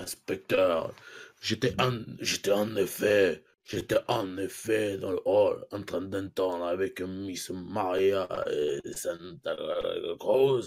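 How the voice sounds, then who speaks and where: Putting on a pompous character voice, a man speaks very slowly, raspy and fairly low in pitch. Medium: actual play. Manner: pompous, declamatory.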